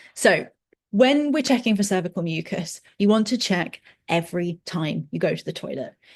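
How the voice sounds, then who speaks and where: This woman sounds somewhat breathy. She speaks with lively intonation. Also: medium pitch for a woman. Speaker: fertility educator. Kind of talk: educational webinar. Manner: fast.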